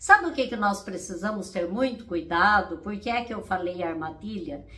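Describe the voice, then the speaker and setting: Against noticeable background noise, a woman speaks at medium pitch and a moderate pace with lively intonation. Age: 60s. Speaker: therapist and coach. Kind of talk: casual motivational talk to camera.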